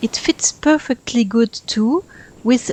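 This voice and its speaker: Very slowly and somewhat breathily, a woman speaks in a French accent with ordinary pitch variation, the sound dry and close with no echo. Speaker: gaming YouTuber. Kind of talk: voice-over commentary over speedbuild.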